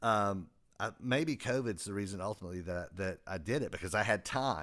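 Speaking with a Southern US accent, a man has a fairly low pitch, a bright, sharp tone, ordinary pitch variation and a moderate pace, on a very clean recording with a silent background. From US South, South Carolina. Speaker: music technology teacher and author. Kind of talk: casual interview chat. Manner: hesitant, many fillers.

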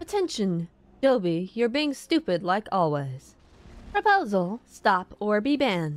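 In a put-on, robotic character voice, a female-sounding speaker talks at a fairly slow pace with a medium pitch. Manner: scolding, officious.

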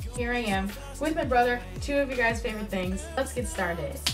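The speaker keeps a moderate pace. Clear music plays in the background. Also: woman. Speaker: vlogger host. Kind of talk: casual talk to camera. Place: home room. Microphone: phone near.

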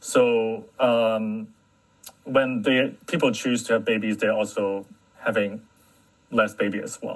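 A man with a medium pitch talks at a very slow pace, with fairly even intonation and long, frequent pauses. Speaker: market research analyst. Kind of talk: panel discussion. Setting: online audio room.

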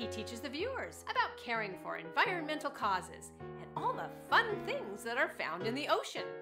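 Music in the background behind a woman speaking at a moderate pace. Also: hardly any pauses. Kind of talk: promotional sizzle reel narration.

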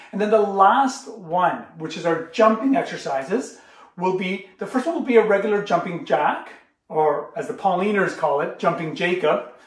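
Room echo is audible around the speaker. He is a man talking at a moderate pace. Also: quiet background. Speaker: school gym teacher. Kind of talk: tutorial. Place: kitchen. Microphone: camera far.

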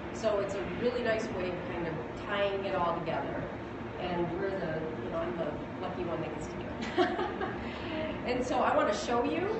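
Moderate-paced speech amid loud background noise and audible room echo. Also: woman. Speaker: company lab guide. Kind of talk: press demo explanation. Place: hall. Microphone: camera far.

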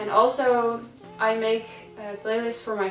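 A woman at a fairly slow pace with fairly even intonation, audible room echo and faint music in the background. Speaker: vlogger. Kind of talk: casual vlog chat. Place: home room. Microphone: camera far.

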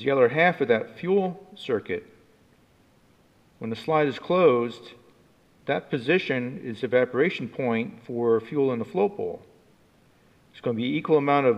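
A man speaks with big swings in loudness and long, frequent pauses. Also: moderate pace. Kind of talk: tutorial. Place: workshop. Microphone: camera far.

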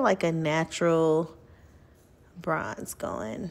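A soft-spoken woman talks with a fairly low pitch. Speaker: beauty vlogger. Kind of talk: casual talk to camera, get-ready-with-me tutorial. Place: bathroom.

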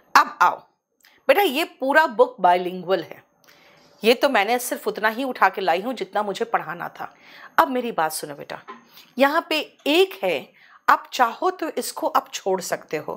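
A woman speaks in a high pitch at a fairly slow pace, with long, frequent pauses. Her pitch swings very widely and her loudness swings a lot. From India. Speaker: English teacher. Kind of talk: lecture. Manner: animated. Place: studio.

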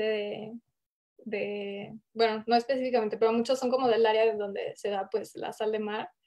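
A woman talks at a moderate pace with a fairly high pitch. The background stays quiet. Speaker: creative director at independent ad agency; panelist. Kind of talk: panel discussion, casual. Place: home room. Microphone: video call.

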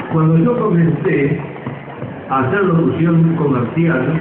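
Speech at a very slow pace comes with noticeable background noise and audible room echo. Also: man. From Argentina, Córdoba. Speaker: veteran radio announcer. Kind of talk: public speech at a festival homage. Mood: grateful, reminiscent. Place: stage.

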